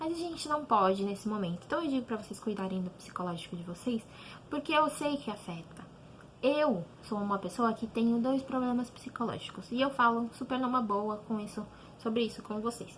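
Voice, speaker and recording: At a fairly quick pace, a woman speaks with a fairly high pitch and lively intonation. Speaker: teacher. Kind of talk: online class talk to students. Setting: home, online video lesson.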